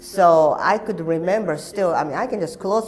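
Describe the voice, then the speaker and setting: A Japanese accent over noticeable background noise. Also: woman. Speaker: actor and activist. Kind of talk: interview.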